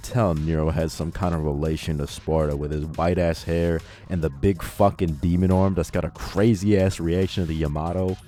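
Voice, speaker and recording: With music playing in the background, a man speaks at a very deep, low pitch with ordinary pitch variation. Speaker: video essayist. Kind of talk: game review narration. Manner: casual.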